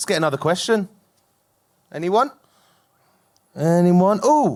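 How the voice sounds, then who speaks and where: The man's high-pitched voice moves with lively intonation. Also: fairly slow pace. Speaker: podcast co-host and producer. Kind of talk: live podcast chat. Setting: stage with audience.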